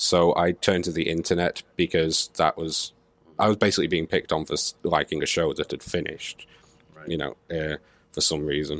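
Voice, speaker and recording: The recording is very clean, with a silent background. A man's voice sounds dry and close, with no echo. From northern England, Manchester. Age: 20s. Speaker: internet streamer and university student. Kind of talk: casual chat. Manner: sarcastic.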